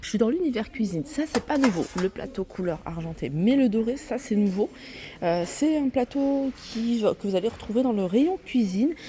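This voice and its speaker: Soft-spoken and fairly high-pitched, a woman speaks at a moderate pace with very wide pitch swings over noticeable background noise. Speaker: shopping vlogger. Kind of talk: store walkthrough vlog. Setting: inside a discount store.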